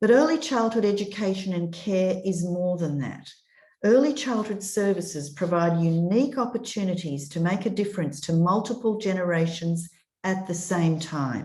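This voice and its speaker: A woman's medium-pitched, somewhat breathy voice, dark and mellow in tone, with lively intonation, an Australian accent and a moderate pace. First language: European language. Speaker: children's commissioner. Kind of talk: prepared speech. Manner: formal.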